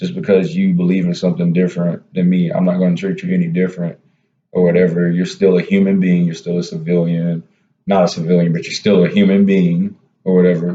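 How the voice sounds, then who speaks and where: A man's very fast, very deep, low voice with an American accent, a dark, mellow tone and monotone, flat intonation. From US South, South Carolina small town. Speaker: army soldier, vlogger. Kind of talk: casual chat. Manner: filler-heavy, repetitive.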